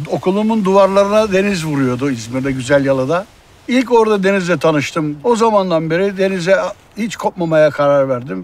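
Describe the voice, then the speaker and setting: A man with a high-pitched voice talks at a fairly quick pace. His intonation is lively. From Turkey, Izmir. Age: 60s. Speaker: former fisherman, marine conservationist. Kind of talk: interview testimony.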